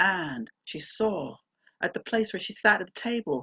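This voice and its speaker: A woman has an ordinary speaking voice. Her pitch is fairly high and her pace is moderate. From Canada. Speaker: storyteller. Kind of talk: storytelling performance, ghost story.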